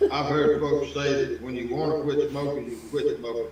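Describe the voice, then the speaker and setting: Against noticeable background noise and audible room echo, a man with a fairly high voice and an American accent speaks with fairly even intonation. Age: 70s. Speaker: gamer in hunting game tournament. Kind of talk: casual chat.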